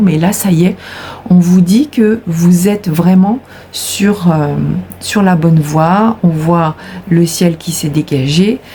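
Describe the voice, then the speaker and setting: Against noticeable background noise, a woman with a fairly low voice speaks with fairly even intonation. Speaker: tarot card reader. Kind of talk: tarot reading. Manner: hesitant, many fillers.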